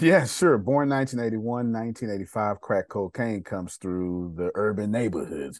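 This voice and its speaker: Against a quiet background, a man with an American accent talks at a moderate pace and medium pitch, his intonation lively and hardly any pauses in between. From Texas. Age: 40s. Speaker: motivational speaker and CEO. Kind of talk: casual interview. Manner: animated.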